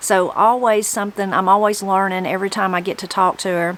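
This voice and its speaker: A woman with a Southern Appalachian accent at a fairly quick pace, over noticeable background noise. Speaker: video host and interviewer. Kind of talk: intro narration to camera. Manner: casual.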